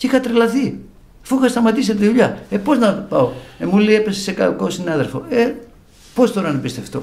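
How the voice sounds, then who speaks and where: A man's high voice at a moderate pace, with very wide swings in pitch. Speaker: bouzouki musician; interviewee. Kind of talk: religious testimony. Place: home room. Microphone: studio mic.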